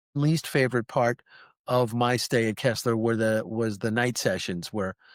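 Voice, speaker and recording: A man with an American accent speaks in a plain, everyday voice at medium pitch and a moderate pace, with fairly even intonation and very even loudness. The recording is very clean over a silent background, with a dry, close sound and no echo. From New Jersey. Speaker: podcast host, peer mentor with spinal cord injury. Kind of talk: interview.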